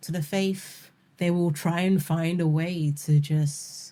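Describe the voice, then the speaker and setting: Against a silent background in a very clean recording, a woman with a London accent speaks very slowly in a dark, mellow, somewhat breathy tone with monotone, flat intonation. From London, UK. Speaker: spoken word poet. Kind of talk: interview answer. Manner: casual, conversational.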